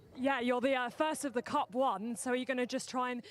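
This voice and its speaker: A woman is the speaker. Her voice sits high. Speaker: pit lane reporter. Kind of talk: live grid interviews. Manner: fast.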